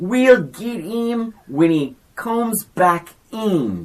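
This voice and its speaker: In a loud, put-on character voice, a female-sounding speaker at medium pitch for a woman talks at a very slow pace. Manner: angry, loud.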